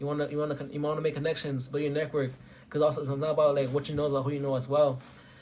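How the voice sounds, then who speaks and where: Somewhat breathy, this man's voice sits at a fairly high pitch. He speaks with monotone, flat intonation. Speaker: engineering student. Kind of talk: advice talk. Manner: fast; halting, many repeats.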